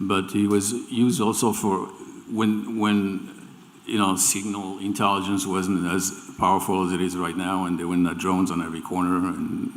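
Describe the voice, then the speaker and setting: A man with a very deep, low pitch and a French accent, at a moderate pace with monotone, flat intonation and audible room echo. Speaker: remote viewing teacher. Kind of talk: live panel discussion. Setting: stage with audience. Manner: halting, repeats words.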